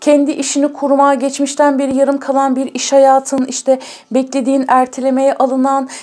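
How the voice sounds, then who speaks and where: Against noticeable background noise, a woman talks at a fairly quick pace with a high pitch. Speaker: tarot reader. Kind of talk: tarot reading to viewers.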